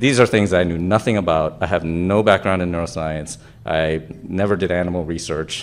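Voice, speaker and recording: At a moderate pace, a man talks in a very deep, low pitch with ordinary pitch variation. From Japan. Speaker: anesthesiologist and researcher; speaker. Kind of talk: conference talk. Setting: stage with audience. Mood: reflective, personal. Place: hall.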